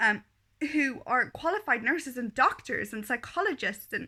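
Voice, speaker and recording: A woman's raised, projected voice, bright and sharp in tone, moves through very wide pitch swings at a moderate pace. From Kenya. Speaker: vlogger. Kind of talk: video diary monologue. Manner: hesitant, many fillers.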